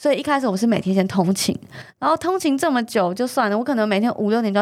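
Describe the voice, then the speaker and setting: A woman rattles along at a very fast pace, her intonation lively. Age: young. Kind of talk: interview about her cancer recovery.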